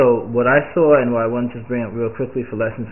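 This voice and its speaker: Speaking at a fairly quick pace, the man keeps his intonation fairly even. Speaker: home bible teacher. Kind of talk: biblical commentary. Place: home room. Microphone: webcam.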